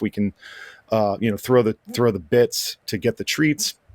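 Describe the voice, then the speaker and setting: Here is a plain, everyday voice: a man with an American accent at medium pitch. He keeps a moderate pace and ordinary pitch variation, in a dry, close sound with no echo. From Appalachia, US. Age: 40s. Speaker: Twitch streamer and moderator. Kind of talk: casual chat. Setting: livestreamed podcast.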